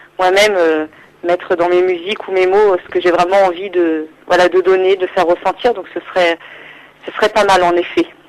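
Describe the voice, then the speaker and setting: Against noticeable background noise, a woman speaks at a moderate pace. Her intonation is monotone and flat. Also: medium pitch for a woman. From Île-de-France, France. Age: 20s. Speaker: singer-songwriter. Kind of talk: radio interview. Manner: hesitant, many fillers.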